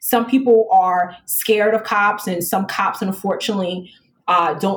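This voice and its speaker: A woman speaks at a medium pitch and moderate pace, with ordinary pitch variation. Her voice is somewhat breathy. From New York City, the Bronx. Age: 30s. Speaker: police lieutenant, recruiter. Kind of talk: casual interview.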